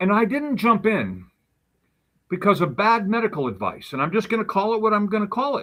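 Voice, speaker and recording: Animated and high-pitched, a man speaks with a bright, sharp tone and ordinary pitch variation. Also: fairly quick pace. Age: 60s. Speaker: health advocate, neuropathy patient. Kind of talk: interview conversation.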